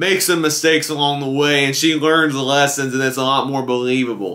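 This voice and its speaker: The speaker is a man with a fairly high pitch and ordinary pitch variation. His tone is bright and sharp. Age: 20s. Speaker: movie reviewer. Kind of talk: video review monologue. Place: home room.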